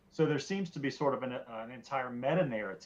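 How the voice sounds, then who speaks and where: A man with a Southern US accent. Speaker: podcast guest, student of theology and ethics. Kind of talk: casual discussion. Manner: halting, many fillers and repeats.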